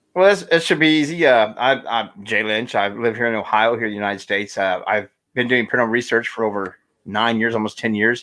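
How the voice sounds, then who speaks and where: A man's medium-pitched voice with ordinary pitch variation, a very fast pace and a Midwestern accent. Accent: American Midwest. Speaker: paranormal investigator and podcaster. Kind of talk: casual interview chat. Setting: Facebook live broadcast.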